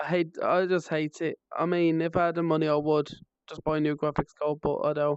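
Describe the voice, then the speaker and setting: Dry and close with no echo, a woman speaks in a very deep, low pitch and monotone, flat intonation with a West Midlands accent. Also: fairly quick pace. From West Midlands, England. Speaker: streamer. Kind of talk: casual live stream chat.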